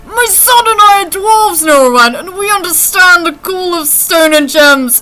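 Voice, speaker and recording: A woman in a put-on character voice, extremely high-pitched, at a moderate pace. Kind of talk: in-character.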